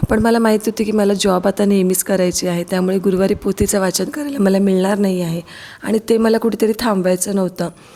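Against noticeable background noise, a woman talks at a medium pitch with fairly even intonation. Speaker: vlogger and schoolteacher. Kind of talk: vlog voice-over narration.

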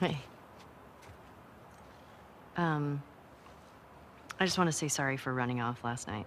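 A woman uses a put-on character voice at an extremely low pitch with ordinary pitch variation. Her pace is slow and her tone fairly bright.

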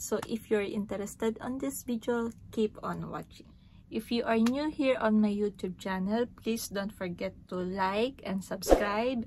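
Against noticeable background noise, a woman speaks at a fairly slow pace in a somewhat breathy voice with ordinary pitch variation. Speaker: vlogger. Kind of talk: casual vlog chat. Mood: cheerful, smiling. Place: home room. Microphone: phone near.

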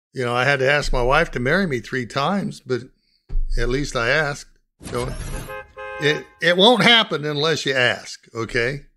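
Over music in the background, a man with a fairly high pitch speaks at a moderate pace with long, frequent pauses. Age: 70s. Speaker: retired war veteran. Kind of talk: casual advice to camera. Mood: warm, fatherly. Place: home room.

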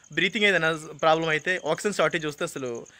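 Pitched high, a man's voice shifts with ordinary variation. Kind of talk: testimony / complaint to camera. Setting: outdoors at a rural health centre.

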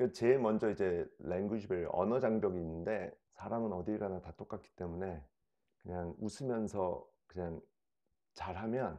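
In a very deep, low pitch and a dark, mellow tone, a man speaks at a fairly slow pace, his loudness swinging widely between long, frequent pauses. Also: quiet background. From South Korea. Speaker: investor, dating show contestant; interview guest. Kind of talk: casual interview. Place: home room.

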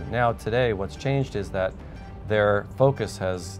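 Clear music plays behind a man's fairly low voice. His pitch varies in an ordinary way. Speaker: immigration lawyer. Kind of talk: interview answer. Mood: calm, reassuring, informative. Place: studio.

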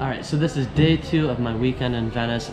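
Noticeable noise sits behind a man who speaks fairly quickly. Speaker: travel vlogger. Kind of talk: casual vlog chat. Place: home room. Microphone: phone near.

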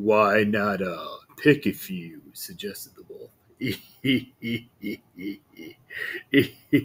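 The text is read aloud plainly. Nothing more is done with it.

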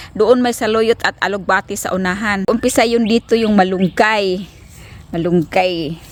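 A woman speaks in an unremarkable speaking voice with fairly high pitch. Her pace is fairly slow and her intonation fairly even. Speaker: family vlogger. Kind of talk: casual vlog talk. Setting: outdoors in garden. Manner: chatty, laughing.

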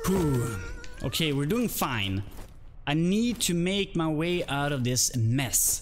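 Over light background noise, a man talks at a very slow pace in a fairly high pitch, with very wide pitch swings yet very even loudness. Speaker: video game streamer; game streamer. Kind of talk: casual live-stream gameplay commentary; casual gameplay commentary. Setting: live stream with chat. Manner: animated, excitable, swears casually. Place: home room.

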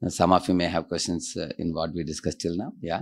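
The man's voice has a very deep, low pitch. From India. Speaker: monk and preacher; spiritual teacher. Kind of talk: lecture. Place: home room. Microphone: studio mic.

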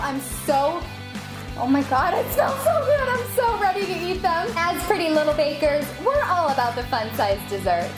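Over clear background music, a woman talks at a moderate pace in an extremely high pitch, her tone upbeat and bubbly and her pitch swinging very widely. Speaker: baking show host. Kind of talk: baking tutorial host reel. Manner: upbeat, bubbly. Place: kitchen.

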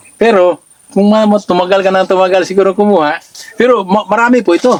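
A man with a high voice talks very fast at a very even loudness. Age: 60s. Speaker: former overseas worker giving product testimonial. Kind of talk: testimony. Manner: halting.

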